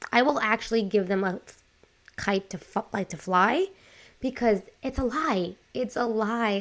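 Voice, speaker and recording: A woman with a New York accent speaks in an animated tone at medium pitch on a very clean recording with a silent background. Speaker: life coach and podcaster. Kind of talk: casual podcast monologue.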